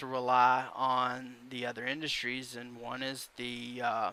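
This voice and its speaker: A man speaks at a very slow pace in an Alabama accent, his tone bright and sharp. The recording is very clean with a silent background. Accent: Southern US (Alabama). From Alabama, US South. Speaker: YouTube commentator. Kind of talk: opinion vlog rant. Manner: halting, many fillers.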